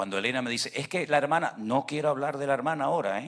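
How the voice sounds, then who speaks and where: In a normal speaking voice, a man talks with medium pitch and ordinary pitch variation, keeping a fairly quick pace. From Venezuela. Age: 60s. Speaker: pastor. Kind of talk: sermon.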